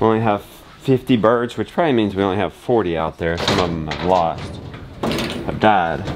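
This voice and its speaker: A man's very deep, low voice at a moderate pace, over noticeable background noise. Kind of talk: casual vlog chat. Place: farm machine. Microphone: phone near.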